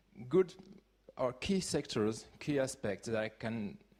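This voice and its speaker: A man is speaking. He has a French accent. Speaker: conference speaker, open-source community leader. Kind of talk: conference talk. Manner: halting, with many fillers.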